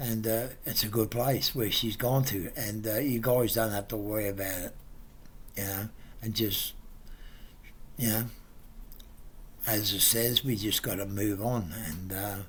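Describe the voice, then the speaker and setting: The speaker goes fairly slowly with long, frequent pauses and fairly even intonation. The voice is somewhat breathy, and the room echo is audible. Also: man, fairly low pitch for a man. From England. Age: 70s. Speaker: family friend, pensioner. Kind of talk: memorial tribute message. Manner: halting, many fillers.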